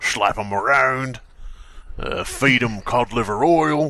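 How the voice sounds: A man puts on a character voice with a bright, sharp tone and vocal fry. His pitch is medium, its variation ordinary, and his pace slow.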